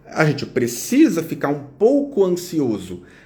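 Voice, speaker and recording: A man's high-pitched voice with a dark, mellow tone moves through very wide pitch swings, heard with audible room echo. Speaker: psychologist. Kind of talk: live stream talk. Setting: Instagram live. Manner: slower, guided exercise.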